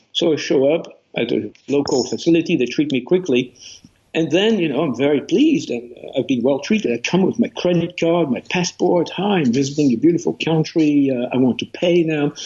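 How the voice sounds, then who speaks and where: Speaking fairly quickly in a French accent, a man shows ordinary pitch variation. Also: fairly high pitch for a man. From France. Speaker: author. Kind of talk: interview.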